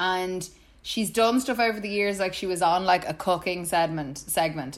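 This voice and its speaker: Moderate pace, ordinary pitch variation and an Irish accent. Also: woman. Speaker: podcast co-host. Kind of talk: casual chat.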